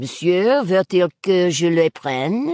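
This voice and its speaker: Putting on a character voice, a woman talks at a fairly slow pace at medium pitch, her pitch swinging very widely, with a dry, close sound and no echo. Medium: read story. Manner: brisk.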